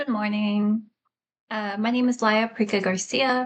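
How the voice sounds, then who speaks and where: A woman's somewhat breathy, fairly high voice with an American accent. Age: 30s. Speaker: vlogger. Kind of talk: casual vlog monologue. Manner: halting, many fillers.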